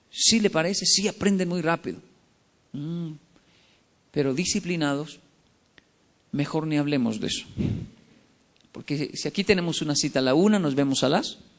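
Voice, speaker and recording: This man's voice sits fairly high for a man, with an animated tone and ordinary pitch variation. He keeps a moderate pace broken by long, frequent pauses. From Colombia and Japan. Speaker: motivational speaker. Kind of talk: motivational talk. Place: hall. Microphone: podium.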